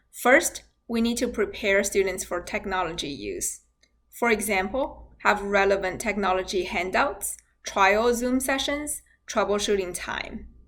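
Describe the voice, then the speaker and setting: Fairly slow speech with a non-native accent. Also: woman, medium pitch for a woman, ordinary pitch variation. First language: not English. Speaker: university nursing instructor. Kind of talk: scripted instructional talk. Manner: formal.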